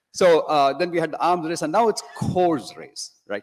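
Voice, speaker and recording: A man with a fairly high pitch, in a dry, close sound with no echo. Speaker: conference audience member asking a question. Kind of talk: Q&A question. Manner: fast. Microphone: big echo.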